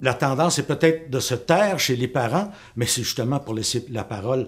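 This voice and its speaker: Lively intonation, a somewhat breathy delivery and a moderate pace. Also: man. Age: 60s. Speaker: teacher and parent. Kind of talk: political testimony. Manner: halting.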